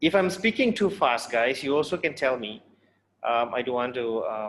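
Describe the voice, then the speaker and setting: Medium pitch, lively intonation, and a moderate pace from a man with a normal speaking voice. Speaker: university lecturer. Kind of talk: lecture.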